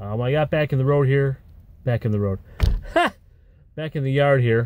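In a dry sound with no echo, a man speaks at a moderate pace in a dark, mellow tone with ordinary pitch variation. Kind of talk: casual vlog chat. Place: car. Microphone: phone near.

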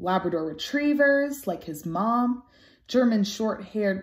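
The pitch moves with lively intonation. Underneath, it is plain reading aloud.

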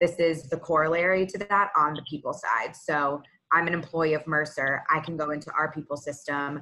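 A woman with a very deep, low voice speaks with an American accent. Her tone is bright and sharp, her pace moderate and her intonation fairly even. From Texas, Houston. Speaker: consultant; presenter. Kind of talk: corporate presentation. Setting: video call. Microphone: video call.

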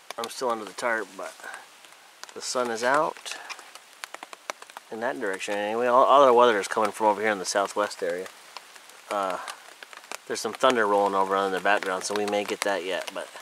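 Over noticeable background noise, a man with a fairly low pitch speaks at a fairly quick pace with fairly even intonation in a dry sound with no echo. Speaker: camper vlogger. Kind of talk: casual vlog chat. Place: forest. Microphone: phone near.

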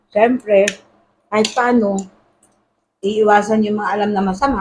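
A woman speaks at a fairly slow pace in a monotone, flat delivery. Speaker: vlogger. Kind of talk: casual cooking vlog.

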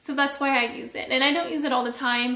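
This woman's voice is high-pitched, raised and projected, with fairly even intonation. Audible echo fills the room. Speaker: beauty youtuber; beauty vlogger. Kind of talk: product review vlog. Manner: casual, chatty. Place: home room.

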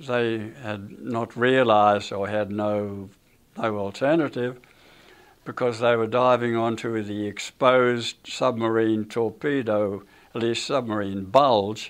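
A man's voice, fairly slow and with fairly even intonation. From Australia. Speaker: war veteran. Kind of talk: interview answer. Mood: somber reflective. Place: studio.

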